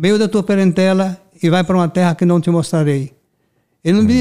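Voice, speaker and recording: Pitched high with ordinary pitch variation, a man speaks at a fairly quick pace in a dark, mellow tone. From Brazil. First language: Portuguese (speaking Spanish). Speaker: pastor. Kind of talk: testimony. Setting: studio.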